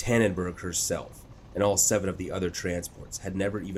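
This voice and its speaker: Monotone and flat, a man's somewhat breathy voice sits at a very deep, low pitch and moves at a fairly quick pace. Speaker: audiobook narrator. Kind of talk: dramatic audiobook narration of a sci-fi war story, building tension in battle scenes; scripted narration. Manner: tense, urgent, crisp pacing during combat action.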